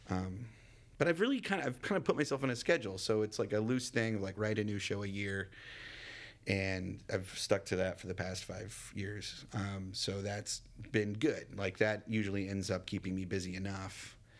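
Speaking in a plain, everyday voice, a man keeps a fairly low pitch, ordinary pitch variation and a moderate pace. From Texas, Dallas. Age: 30s. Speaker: actor and comedian. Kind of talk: casual interview.

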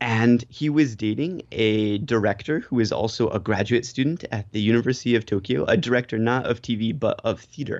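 A man with an American accent talks at a fairly quick pace with hardly any pauses in a plain, everyday voice, his pitch medium with ordinary variation. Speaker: TV personality in Japan. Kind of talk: casual interview.

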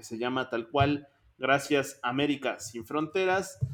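A man speaks at a fairly slow pace. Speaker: music podcast host. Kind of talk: casual chat.

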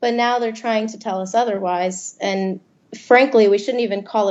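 A woman's ordinary speaking voice with an American accent, fairly high in pitch, at a moderate pace with ordinary pitch variation. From Florida, army brat. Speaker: student journalist. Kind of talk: interview.

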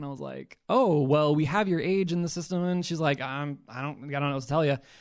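Over a quiet background, a man talks at a fairly quick pace with a fairly high pitch and ordinary pitch variation. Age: 30s. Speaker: returned missionary, podcast guest. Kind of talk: personal testimony interview. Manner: loud, extroverted.

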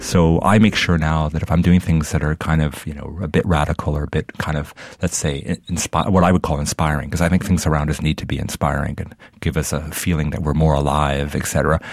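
A man's very deep, low voice moves along at a fairly quick clip, its intonation fairly even, while background noise stays noticeable. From Middle East, raised in Canada. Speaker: designer. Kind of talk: interview.

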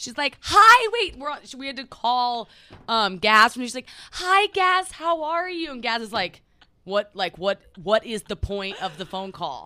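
Big swings in loudness and very wide pitch swings mark a woman's bright, sharp voice with an American accent. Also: fairly slow pace, dry, close sound with no echo. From Oklahoma City. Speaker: podcast co-host, content creator. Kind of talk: casual chat.

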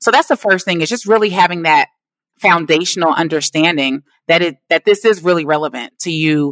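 Fairly low in pitch, a woman speaks fairly quickly in an ordinary speaking voice. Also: dry, close sound with no echo. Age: 40s. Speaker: business coach and launch strategist. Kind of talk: interview on business storytelling.

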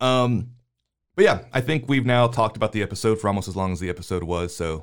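Speaking at a fairly quick pace, a man uses a plain, everyday voice with ordinary pitch variation. The recording is very clean, with a silent background. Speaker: podcast host, movie discussion. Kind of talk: casual chat.

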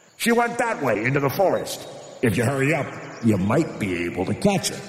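Putting on a character voice, a man speaks at a fairly quick pace with very wide pitch swings and a slight echo. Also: fairly high pitch for a man. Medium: read story.

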